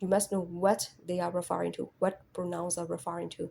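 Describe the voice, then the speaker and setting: This woman talks at a moderate pace in a dark, mellow tone. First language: not English. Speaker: English test tutor. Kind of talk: tutorial. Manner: casual, repetitive with fillers.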